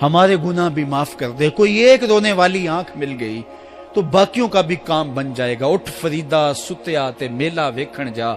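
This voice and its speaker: A man talks in a fairly high voice with lively intonation. Music plays in the background. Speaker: Islamic preacher. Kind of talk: Islamic sermon (bayan), emotional preaching to an audience. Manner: emotional, devotional.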